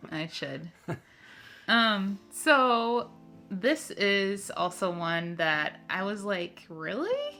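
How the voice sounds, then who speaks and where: Music plays behind a woman with an American accent who speaks at a medium pitch and a very slow pace, her intonation lively. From Minnesota. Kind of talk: casual conversation.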